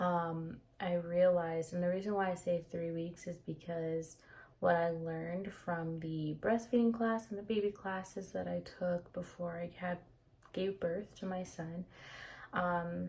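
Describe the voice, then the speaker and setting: The voice is somewhat breathy, with fairly even intonation and a fairly slow pace. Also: woman, fairly low pitch for a woman. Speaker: vlogger sharing personal experience. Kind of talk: casual personal vlog. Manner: hesitant, many fillers.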